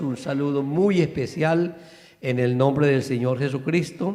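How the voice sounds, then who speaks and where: A man speaking at a fairly slow pace, with audible room echo. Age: 60s. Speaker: pastor. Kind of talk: church greeting. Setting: church. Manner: animated.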